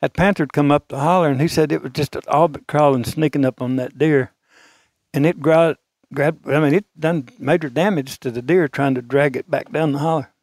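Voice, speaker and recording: A man's fairly high voice in an Arkansas accent, fairly even intonation, dry and close with no echo, on a very clean recording with a silent background. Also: fairly quick pace. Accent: Southern US (Arkansas). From small-town Arkansas. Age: 70s. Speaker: retired auto parts dealer, deer hunter. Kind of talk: storytelling. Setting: hunting camp.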